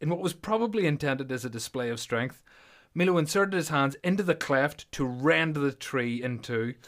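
This man talks at a moderate pace with a Northern Irish accent, his fairly high voice full of lively intonation. The recording is very clean, with a silent background. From Belfast, Northern Ireland. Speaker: podcast host and powerlifter. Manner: joking, self-deprecating.

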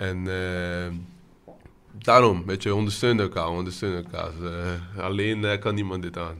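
A man speaks fairly slowly in a very deep, low pitch with monotone, flat intonation. Audible room echo surrounds his voice. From Brazil. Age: 20s. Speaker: student project leader. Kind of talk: casual chat.

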